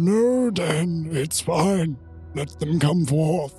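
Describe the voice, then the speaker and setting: Very slowly, someone speaks at a middle pitch in a put-on character voice. Clear music plays in the background. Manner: welcoming, gentle.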